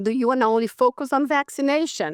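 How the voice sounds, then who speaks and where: A woman with a non-native accent speaks at a fairly quick pace. Her pitch varies in an ordinary way against a quiet background. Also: dry, close sound with no echo. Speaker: physician and public health professor. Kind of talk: conference talk. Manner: halting.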